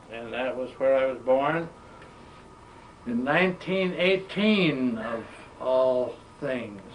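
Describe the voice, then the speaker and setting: Over noticeable background noise and audible room echo, a man with an American accent speaks at medium pitch and a very slow pace, with lively intonation and long, frequent pauses. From western Massachusetts, US Northeast. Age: 80s+. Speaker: World War II veteran. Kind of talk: oral history interview. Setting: museum.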